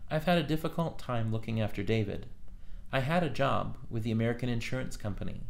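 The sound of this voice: Reading done in an unforced reading voice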